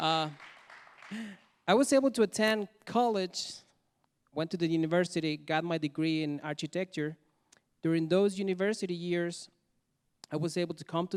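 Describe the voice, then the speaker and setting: In a dry, close recording without echo, a man with a Mexican accent speaks at a moderate pace and a high pitch. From Mexico. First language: Spanish. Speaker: storyteller. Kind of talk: testimony. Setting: stage with audience.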